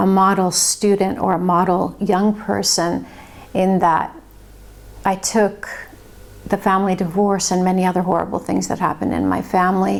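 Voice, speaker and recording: A woman with a Californian accent speaks at medium pitch. Her pace is fairly slow and her intonation fairly even. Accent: American (California). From Los Angeles, California (born in Finland). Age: 50s. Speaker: investigative journalist and author. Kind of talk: personal testimony monologue.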